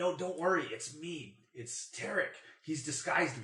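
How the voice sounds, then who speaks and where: A man whispers in a put-on character voice at a moderate pace. It is quiet, yet the loudness swings a lot. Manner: whispering, hushed.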